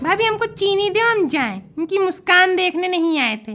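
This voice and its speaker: A woman with an extremely high pitch and lively intonation speaks at a moderate pace. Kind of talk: desi family comedy sketch. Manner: lecturing, preachy.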